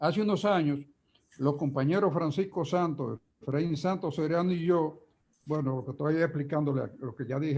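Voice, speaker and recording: Somewhat breathy and dark, mellow in tone, a man's voice is heard. He talks at a moderate pace with ordinary pitch variation. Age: 80s+. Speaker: trade union leader. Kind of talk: conference talk. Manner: halting.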